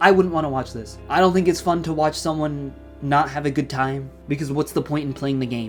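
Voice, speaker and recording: Fairly quick speech with ordinary pitch variation and music in the background. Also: man. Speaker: gaming YouTuber. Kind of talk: casual talk to camera.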